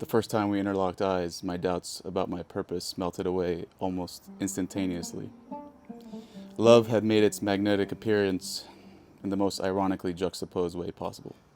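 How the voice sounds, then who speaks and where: A man's very deep, low voice at a fairly quick pace, flat and monotone, over music in the background. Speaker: spoken word poet. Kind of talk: spoken word poetry performance.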